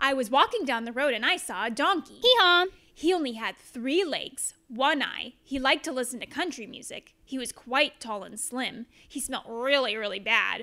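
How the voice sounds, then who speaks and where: At a moderate pace, a woman projects a raised voice with a high pitch, a bright, sharp tone, lively intonation and a playful, upbeat tone. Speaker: teacher. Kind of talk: children's storybook read-aloud.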